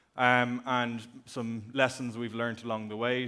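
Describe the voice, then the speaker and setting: A man speaks with an Irish accent. His tone is bright and sharp. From Ireland. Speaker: company executive, conference speaker. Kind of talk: conference talk.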